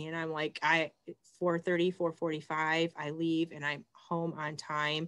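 A woman with an American accent speaks very slowly in a very deep, low pitch and a flat monotone, against a quiet background. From Michigan. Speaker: school librarian; host of group talk. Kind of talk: casual chat. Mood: warm, chatty. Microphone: video call.

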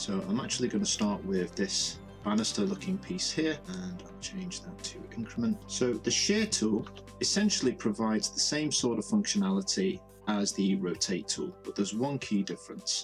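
Backed by music, a man keeps to a moderate pace. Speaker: Blender tutorial creator. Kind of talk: software tutorial narration.

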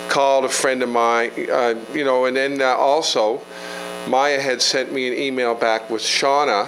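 Light background noise sits behind a man speaking at a fairly slow pace in a monotone, flat intonation. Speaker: provincial politician. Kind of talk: community meeting. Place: meeting room. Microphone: handheld.

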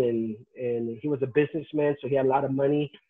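Against a quiet background, a man speaks. His tempo is moderate and his intonation fairly even. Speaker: pastor telling his life story. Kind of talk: interview answer. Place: home room. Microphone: video call.

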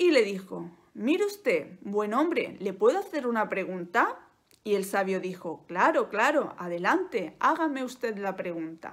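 Against a quiet background, a woman with a Spanish accent talks at a fairly slow pace in a fairly high pitch, her gentle, dramatic tone rising and falling in very wide pitch swings. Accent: Peninsular Spanish. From Spain. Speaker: Spanish teacher and YouTuber. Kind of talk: bedtime-style storytelling, slow and soothing, told as a tale; casual educational monologue. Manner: slow, gentle, clearly articulated, with dramatic pauses and a warm, coaxing tone. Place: home room. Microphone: phone near.

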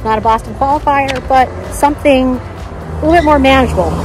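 A woman's voice comes through dry, with no echo, as clear music sounds in the background. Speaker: runner vlogger. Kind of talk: casual vlog chat. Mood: relieved, quietly confident. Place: street.

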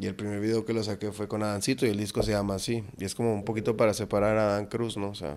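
A very fast, monotone delivery with flat intonation and hardly any pauses, over light background noise. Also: man, fairly low pitch for a man. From Mexico. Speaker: rapper; guest. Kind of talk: casual interview chat. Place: studio. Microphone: studio mic.

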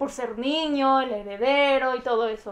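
A woman speaks in a high voice with a Mexican accent and ordinary pitch variation. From Mexico. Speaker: YouTuber; channel host interviewer. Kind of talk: casual interview. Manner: animated. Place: home room. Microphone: lapel.

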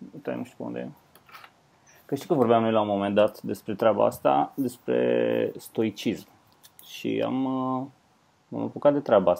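Pausing long and often, a man speaks at a fairly slow pace with big swings in loudness. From Romania. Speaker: comedian, podcast co-host. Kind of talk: casual chat. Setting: remote call, at home, wearing headphones.

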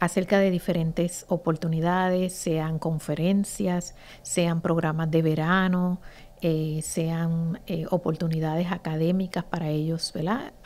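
Her intonation flat and monotone, a woman speaks at a fairly slow pace. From Puerto Rico, Ponce; Puerto Rico. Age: 50s. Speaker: teacher and association founder; teacher. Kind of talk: interview. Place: studio. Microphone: studio mic.

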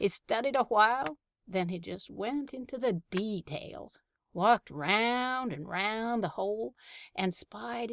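The speaker gives a plain reading aloud against a quiet background.

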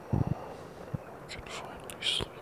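Soft-spoken whispering. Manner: soft sleepy whisper.

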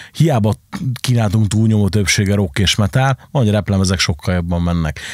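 In an ordinary speaking voice, a man talks at a moderate pace with fairly low pitch, the sound dry with no echo and the background quiet. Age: 30s. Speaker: podcast host, club and record shop owner; podcast host. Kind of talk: casual chat. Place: studio. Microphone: studio mic.

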